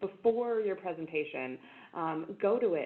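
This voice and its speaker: The voice is loud, with very wide pitch swings. It moves at a moderate pace. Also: woman. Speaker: conference webinar presenter. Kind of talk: webinar presentation.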